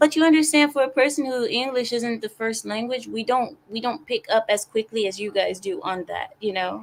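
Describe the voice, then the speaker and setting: With lively intonation and a fairly high pitch, a woman talks at a moderate pace with hardly any pauses. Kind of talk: casual, conversational.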